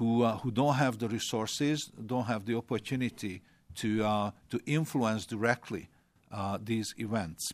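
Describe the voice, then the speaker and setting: A man with a Hungarian accent speaks at a fairly slow pace and medium pitch, keeping his intonation fairly even. The sound is dry and close with no echo, on a very clean recording with a silent background. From Hungary. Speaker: former government minister. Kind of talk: panel discussion. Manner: halting.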